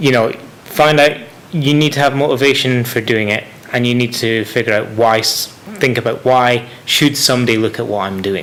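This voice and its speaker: Over noticeable background noise, a man with a Scottish accent talks at a moderate pace, his medium pitch showing ordinary variation. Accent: Scottish, toned down a bit. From Scotland. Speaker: science communicator and vlogger. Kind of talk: casual podcast interview.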